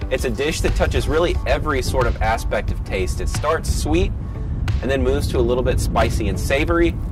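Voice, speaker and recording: Over clear background music, a man talks at a fairly quick pace, the sound dry with no echo. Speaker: news food reporter. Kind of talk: food review presentation. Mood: upbeat, enthusiastic. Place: street. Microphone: lapel.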